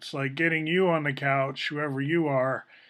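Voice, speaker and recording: A man with an unremarkable speaking voice, fairly high pitch, fairly even intonation and a moderate pace. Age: 60s. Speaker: video blogger. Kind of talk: casual monologue.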